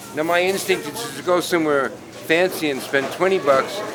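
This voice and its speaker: A man talks at a fairly high pitch and a moderate pace with ordinary pitch variation. Music plays in the background, and there is audible room echo. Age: 60s. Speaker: painter. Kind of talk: documentary interview and casual narration.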